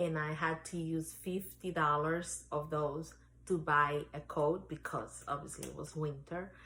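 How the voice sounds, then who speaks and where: Speaking with a Spanish accent, a woman talks at a fairly slow pace in a fairly low pitch. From Dominican Republic, Santo Domingo. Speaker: real estate agent and life coach. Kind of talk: interview testimony.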